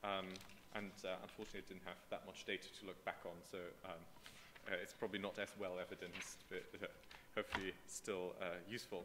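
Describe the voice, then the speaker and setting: A man's very deep, low voice with monotone, flat intonation, long, frequent pauses and noticeable background noise. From Germany. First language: German. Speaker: political scientist. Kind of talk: conference talk. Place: hall.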